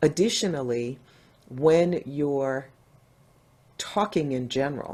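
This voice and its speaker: Dark, mellow tone in an American accent at a fairly slow pace. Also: woman. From US Northeast, New Jersey. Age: 60s. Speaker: diversity and inclusion speaker. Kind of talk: interview.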